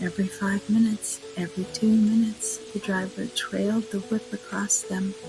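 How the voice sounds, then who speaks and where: Over music in the background, a soft-spoken woman talks at a fairly slow pace. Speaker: narrator. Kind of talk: sleep story. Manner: quiet, soft-spoken.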